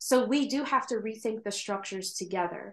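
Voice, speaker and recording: In a plain, everyday voice, a woman with an American accent speaks at a fairly high pitch with ordinary pitch variation over a quiet background. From New York State. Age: 30s. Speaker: drag king and business administrator. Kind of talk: casual interview chat.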